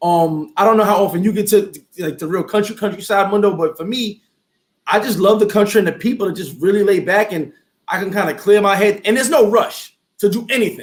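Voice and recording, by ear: Ordinary pitch variation comes with a fairly quick pace. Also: man, high pitch for a man.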